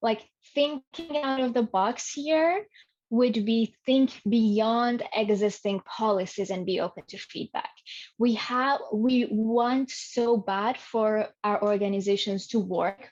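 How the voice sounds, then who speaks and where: At a very slow pace, a woman with a non-native accent speaks at a fairly high pitch with ordinary pitch variation. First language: not English. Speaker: learning experience design specialist. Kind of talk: podcast interview.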